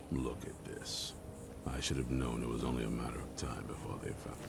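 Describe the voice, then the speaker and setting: Over loud background noise, a man does a put-on character voice at a fairly quick pace. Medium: video game. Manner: gruff, blunt.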